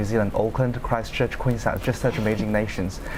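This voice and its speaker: Monotone, flat intonation from a man at a fairly quick pace, over noticeable background noise. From China. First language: Chinese. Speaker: law student. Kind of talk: panel discussion. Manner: halting.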